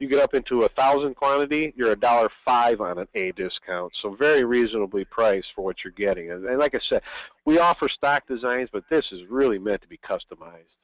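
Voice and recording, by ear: At a fairly quick pace, a man talks at medium pitch with ordinary pitch variation in a dry, close sound with no echo.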